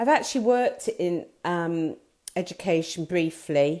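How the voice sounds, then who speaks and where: Heard on a very clean recording with a silent background, the voice has a dark, mellow tone, a very slow pace and ordinary pitch variation. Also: woman. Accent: English. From England. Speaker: business owner and artist. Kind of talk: live video talk. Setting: live video stream. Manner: hesitant, many fillers.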